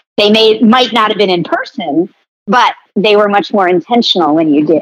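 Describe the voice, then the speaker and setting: This is an ordinary speaking voice with lively intonation. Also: woman. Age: 50s. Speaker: marketing executive and author. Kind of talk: interview.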